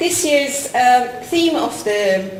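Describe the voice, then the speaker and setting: The pitch swings very widely, set against noticeable background noise and audible room echo. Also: woman. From Iran. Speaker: college principal. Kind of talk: conference closing address. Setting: conference hall with audience.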